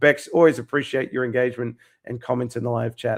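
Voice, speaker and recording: With an Australian accent, a man talks at a medium pitch with fairly even intonation. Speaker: YouTube live stream host. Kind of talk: live stream sign-off. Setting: live stream. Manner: monotone; halting, many fillers.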